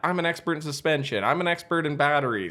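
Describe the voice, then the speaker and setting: Over noticeable background noise, a man with a strong Western Canadian accent speaks fairly quickly in an animated tone and a fairly high pitch. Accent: strong Western Canadian prairie. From Western Canada prairies. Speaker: electric truck company founder. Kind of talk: podcast interview. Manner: casual, animated.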